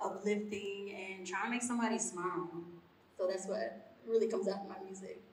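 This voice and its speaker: A woman with a Southern US accent speaks in a monotone, flat intonation over noticeable background noise and audible room echo. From Alabama. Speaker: musician. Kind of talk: panel interview.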